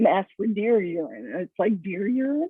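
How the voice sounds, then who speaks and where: A woman with an American accent speaks at a moderate pace, her pitch medium and her intonation lively. It is an unremarkable speaking voice. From San Francisco, California. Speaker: food writer. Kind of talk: interview.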